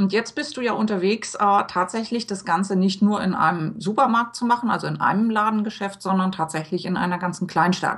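Somewhat breathy, a woman speaks at a fairly quick pace with hardly any pauses and ordinary pitch variation over a quiet background. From Hamburg, Germany. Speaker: podcast host and blogger; podcast host, blogger. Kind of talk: interview. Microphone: webcam.

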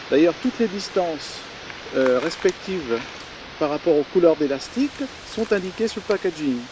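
The speaker moves at a moderate pace in a calm tone. The sound is dry with no echo, and background noise is noticeable. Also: man. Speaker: angler demonstrating fishing gear. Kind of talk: product demonstration. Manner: calm explanatory. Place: waterside.

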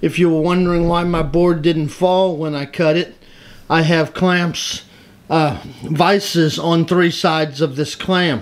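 At a fairly slow pace, a man speaks in a high, monotone voice with flat intonation. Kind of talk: tutorial. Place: workshop.

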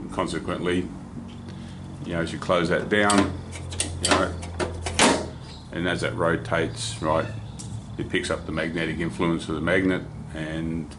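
Loud background noise sits behind a man speaking at a moderate pace with long, frequent pauses. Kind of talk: tutorial. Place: workshop.

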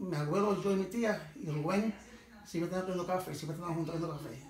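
A man speaks with a high pitch and a moderate amount of room echo. Light background noise can be heard. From Puerto Rico. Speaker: former farmer and fisherman. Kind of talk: interview answer, life story. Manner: casual, rambling. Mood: nostalgic, fond. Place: home room. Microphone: phone near.

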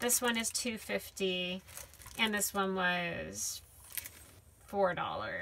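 A woman speaks at a very slow pace, with long, frequent pauses. Light background noise runs underneath. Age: 30s. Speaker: YouTube crafter reviewing stickers. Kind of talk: product unboxing and review. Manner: casual, frequent filler words.

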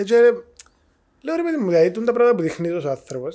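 Someone with a Cypriot accent speaks against a quiet background. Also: man. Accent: Cypriot Greek. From Cyprus. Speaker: podcast host. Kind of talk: casual interview. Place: studio. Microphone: studio mic.

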